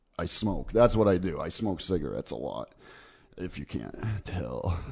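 Very deep and low, a man's voice with vocal fry swings very widely in pitch. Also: moderate pace. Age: 30s. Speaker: podcast host. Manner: chatty, casual.

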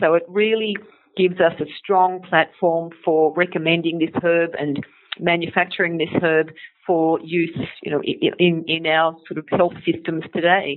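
With an Australian accent, a woman of fairly low pitch talks at a moderate pace in a monotone, flat way. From Australia, Sydney. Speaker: naturopath and company educator. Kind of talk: interview.

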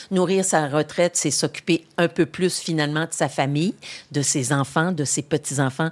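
A woman speaks at a moderate pace with a very deep, low pitch and fairly even intonation. The sound is dry and close with no echo, on a very clean recording with a silent background. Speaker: retired politician and journalist. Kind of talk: interview. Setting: studio.

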